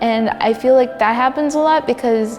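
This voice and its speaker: Over music in the background, a woman with a Canadian accent talks at a fairly quick pace. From Vancouver, Canada. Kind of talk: interview answer.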